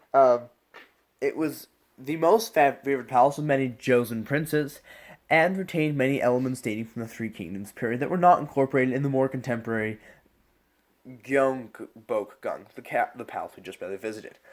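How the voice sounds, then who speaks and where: Recorded very cleanly against a silent background, a man with an American accent speaks at a medium pitch with ordinary pitch variation and big swings in loudness. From United States. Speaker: presenter. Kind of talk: presentation. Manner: halting, with fillers and restarts.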